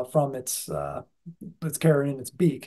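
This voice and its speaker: Against a quiet background, a somewhat breathy man speaks with fairly even intonation. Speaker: speaker. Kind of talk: sermon. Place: home room. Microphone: video call.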